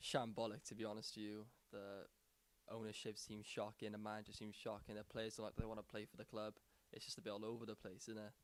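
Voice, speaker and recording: A man at a very fast pace, fairly low in pitch, with monotone, flat intonation. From Wales. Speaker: caller. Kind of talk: phone-in chat.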